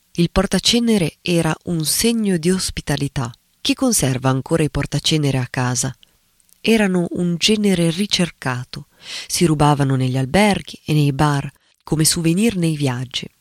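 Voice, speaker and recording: A man talks at a moderate pace with an ordinary speaking voice, fairly high in pitch with lively intonation. The sound is dry and close, with no echo. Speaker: writer and critic. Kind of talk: reading aloud an essay.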